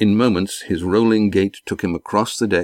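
An unremarkable speaking voice, a man's, at a moderate pace with fairly even intonation, in a dry, close sound with no echo and a very clean recording against a silent background. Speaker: author narrator. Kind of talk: dramatic narration of a fantasy audiobook, read aloud with character voices. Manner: measured, storytelling pace, formal.

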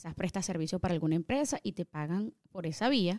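A woman talks at a fairly quick pace with lively intonation in an unremarkable speaking voice. The recording is very clean with a silent background, and the sound is dry and close with no echo. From Venezuela, Caracas. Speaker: tax preparer. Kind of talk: explanatory interview answers.

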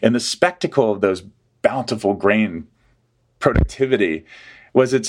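A man with an American accent and a plain, everyday voice, medium in pitch, at a moderate pace against a quiet background. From US South (Atlanta, Georgia). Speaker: history professor. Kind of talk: interview.

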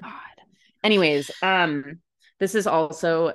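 Against a quiet background, a woman talks at a fairly slow pace with vocal fry. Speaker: podcast co-host. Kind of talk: casual chat. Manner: loud.

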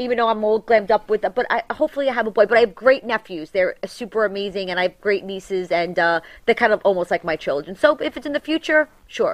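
A woman talks at a very fast pace with a strong New York accent and hardly any pauses. Her pitch is fairly high, with lively intonation. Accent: thick New York. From New York City, Staten Island. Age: 40s. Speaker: reality TV personality. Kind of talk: casual interview chat. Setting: studio. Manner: loud.

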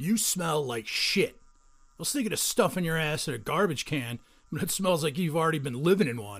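On a very clean recording with a silent background, a man speaks with a fairly high pitch. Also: moderate pace, lively intonation. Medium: audio drama. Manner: aggressive, taunting.

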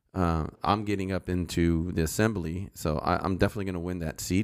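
Speaking at a fairly quick pace with a Californian accent, a man has a very deep, low pitch and fairly even intonation. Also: hardly any pauses, very clean recording, silent background. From Los Angeles, San Fernando Valley. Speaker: retired sheriff's deputy and political candidate. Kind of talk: casual interview.

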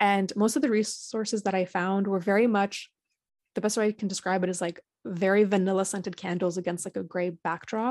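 An ordinary speaking voice moves at a fairly quick pace with fairly even intonation, in a dry, close sound with no echo and a quiet background. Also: woman, medium pitch for a woman. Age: 20s. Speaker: founder of a grief support organization. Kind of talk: interview.

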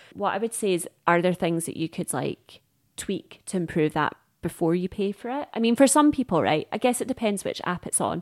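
Talking at a fairly quick pace, a woman with a medium pitch, a plain, everyday voice and lively intonation is heard in a very clean recording with a silent background and a dry, close sound with no echo. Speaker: dating coach. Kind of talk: interview.

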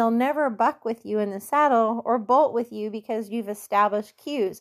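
Speaking at a fairly quick pace with lively intonation, an unremarkable speaking voice comes through on a very clean recording with a silent background. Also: woman. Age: 50s. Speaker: barrel racing coach. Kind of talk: coaching Q&A podcast.

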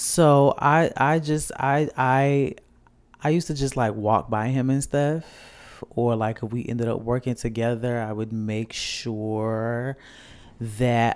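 A man talks with medium pitch and ordinary pitch variation. It is an ordinary speaking voice. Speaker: podcast host. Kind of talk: casual chat. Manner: playful, bantering.

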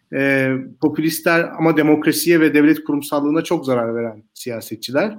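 Speaking at a moderate pace in an ordinary speaking voice, a man with a fairly high pitch uses ordinary pitch variation on a very clean recording with a silent background. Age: 30s. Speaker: political commentator. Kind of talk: panel discussion.

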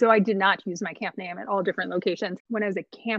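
Speaking with an American accent, a woman at medium pitch keeps her intonation fairly even. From US West Coast, Long Beach, California. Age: 30s. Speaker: camp professional. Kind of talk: casual interview.

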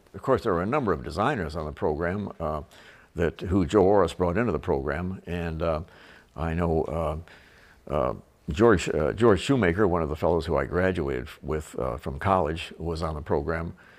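A man's very deep, low voice with vocal fry, an American accent, and ordinary pitch variation, on a very clean recording with a silent background. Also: moderate pace. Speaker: retired car designer. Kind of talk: casual narration. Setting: at home. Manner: halting, many fillers.

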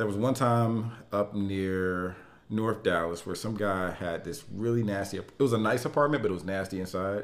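Fairly low in pitch, this man has an ordinary speaking voice. He speaks at a moderate pace with ordinary pitch variation. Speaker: podcast co-host. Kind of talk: casual chat.

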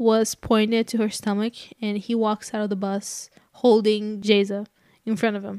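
Speaking fairly slowly in a Portuguese accent, a woman uses a fairly high pitch and monotone, flat intonation, captured on a very clean recording with a silent background and a dry, close sound with no echo. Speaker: true crime podcast co-host. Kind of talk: casual chat.

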